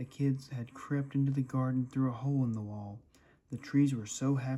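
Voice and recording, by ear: The intonation holds fairly even. The text is read aloud in a natural voice.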